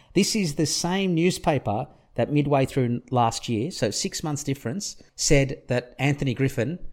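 On a very clean recording with a silent background, a man's intonation is lively. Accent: Australian. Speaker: rugby league podcast co-host. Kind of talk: casual sports chat; match review recap.

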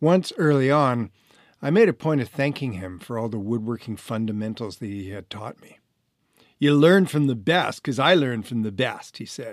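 Talking at a moderate pace, a man has an unremarkable speaking voice at medium pitch. His intonation is lively and his loudness swings widely, on a very clean recording with a silent background. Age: 60s. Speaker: author and renovation contractor, former actor. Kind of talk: reading aloud from own memoir.

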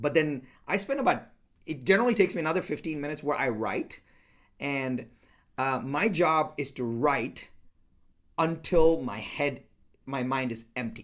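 A man with a non-native accent speaks at a fairly high pitch for a man. His intonation is lively, broken by long, frequent pauses. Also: moderate pace, very clean recording, silent background. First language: not English. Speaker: entrepreneur and business mentor. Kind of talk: interview conversation. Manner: halting.

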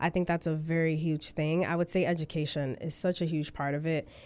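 On a very clean recording with a silent background, a voice with a dark, mellow tone speaks in an American accent. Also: woman. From New York City (Bronx), Dominican family. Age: 20s. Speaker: registered nurse. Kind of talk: interview. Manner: bubbly.

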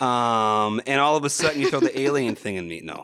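On a very clean recording with a silent background, a man with an American accent speaks in a bright, sharp tone with ordinary pitch variation. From Wisconsin. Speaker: podcast guest. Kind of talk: casual chat.

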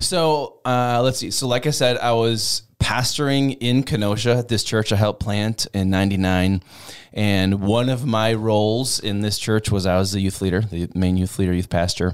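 Someone with an Upper Midwest accent speaks at a moderate pace with ordinary pitch variation. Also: man, fairly low pitch for a man. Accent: Upper Midwest American. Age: 20s. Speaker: youth ministry worker, former pastor. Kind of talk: casual interview, personal testimony. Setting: studio. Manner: animated.

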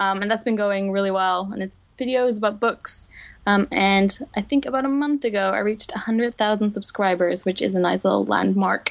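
Fairly quick female speech at a medium pitch, its pitch variation ordinary. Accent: Dutch. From Netherlands. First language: Dutch. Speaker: book video blogger and publishing digital coordinator. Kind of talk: casual chat.

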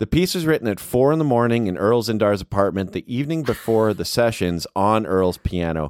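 A man with an ordinary speaking voice and fairly low pitch talks at a fairly quick pace with lively intonation and hardly any pauses, in a dry, close sound with no echo. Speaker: podcast host. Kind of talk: casual podcast conversation. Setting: video call. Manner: friendly, upbeat.

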